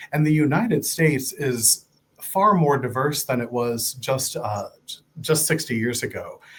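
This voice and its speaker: Speaking at a fairly slow pace, a man with an American accent has an ordinary speaking voice and a fairly high pitch. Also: ordinary pitch variation. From Ohio. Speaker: nonprofit fundraising director. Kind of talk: interview.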